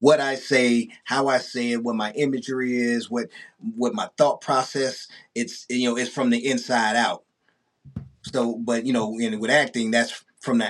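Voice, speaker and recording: In a normal speaking voice with an American accent, a man talks at a fairly slow pace with medium pitch and fairly even intonation. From East St. Louis, Illinois. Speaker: rapper and actor. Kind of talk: casual interview. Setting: studio.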